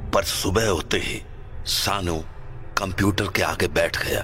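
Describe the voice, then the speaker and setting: A man puts on a character voice at a fairly low pitch. Clear background noise runs underneath. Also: fairly slow pace. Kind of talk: horror narration. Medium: audio drama. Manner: measured, suspenseful.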